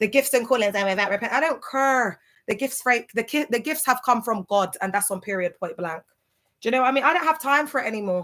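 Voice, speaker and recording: In a very clean recording with a silent background, a woman talks fairly quickly at a high pitch. Her tone is bright, sharp and animated, with lively intonation. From UK. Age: 30s. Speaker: ex-church member turned social media creator. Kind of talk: livestream rant. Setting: livestream.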